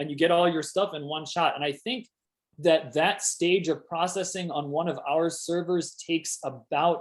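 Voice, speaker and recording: Loud and high-pitched, a man's voice comes through. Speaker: PhD student giving a talk. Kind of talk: casual chat; lecture.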